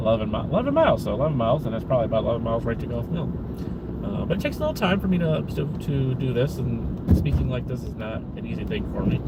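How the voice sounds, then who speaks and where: A man races through his words very fast, with room echo and clear background noise both audible. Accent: American. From Chicago area, Illinois. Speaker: vlogger. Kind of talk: casual live-stream chat while driving. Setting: in a car. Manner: halting, many fillers and repetitions.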